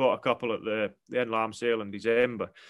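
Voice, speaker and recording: Speaking in a Scottish island accent, a man has a bright, sharp tone and medium pitch, talking at a moderate pace over a quiet background. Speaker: farmer. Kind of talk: casual interview chat.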